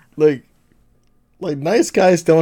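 Against a silent background in a very clean recording, a man speaks with a non-native accent and a dark, mellow tone. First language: not English. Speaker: podcast co-host. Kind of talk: casual chat.

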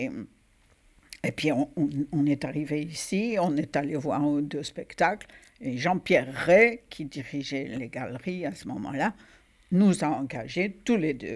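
A woman with a very deep, low pitch speaks at a very slow pace, leaving long, frequent pauses. Her intonation is lively. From Algeria, Oran. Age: 80s+. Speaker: stage actress. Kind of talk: interview. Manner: halting.

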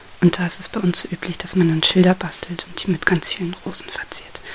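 A woman with a gentle, calm tone and monotone, flat intonation, over noticeable background noise. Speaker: ASMR crafter. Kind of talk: ASMR whisper tutorial, hushed craft explanation. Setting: home recording with microphone, guinea pigs rustling. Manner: soft-spoken, slow and gentle, calm; halting, with pauses and rustling paper sounds.

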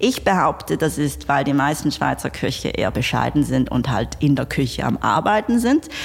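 At a moderate pace, a woman with a very deep, low pitch speaks over noticeable background noise. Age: 30s. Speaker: entrepreneur. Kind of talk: interview.

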